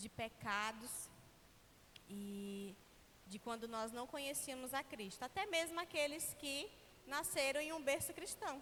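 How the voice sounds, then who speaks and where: The voice is raised and projected, with lively intonation. The pace is fairly slow. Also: woman. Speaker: preacher. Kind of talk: sermon. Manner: slurred speech.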